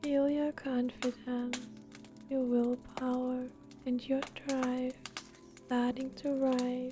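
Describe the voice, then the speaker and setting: Very slow and monotone, a woman speaks in a high pitch with long, frequent pauses and very even loudness. Noticeable background noise sits behind her. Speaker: reiki ASMR practitioner. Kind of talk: guided energy healing ASMR. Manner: soft-spoken.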